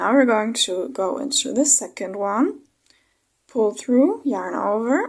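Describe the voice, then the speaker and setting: A woman with a non-native accent speaks very slowly at a high pitch, her intonation lively, on a very clean recording with a silent background. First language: not English. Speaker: crochet tutorial creator. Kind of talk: tutorial. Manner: slightly halting, self-correcting.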